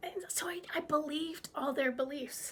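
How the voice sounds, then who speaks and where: Her tone is bubbly and animated as this woman speaks with ordinary pitch variation. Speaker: business coach. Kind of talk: vlog talk to camera. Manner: bubbly, animated.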